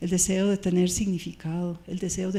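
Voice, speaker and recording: A woman's fairly low voice, dark and mellow in tone and somewhat breathy, at a fairly slow pace. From Switzerland. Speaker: pastor. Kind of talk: sermon.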